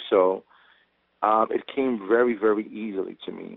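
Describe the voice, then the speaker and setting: A man speaks in a medium pitch with a New York accent. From New York, Brooklyn (Sunset Park). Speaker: actor, police officer and Marine veteran. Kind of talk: interview. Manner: halting, with many repeated words.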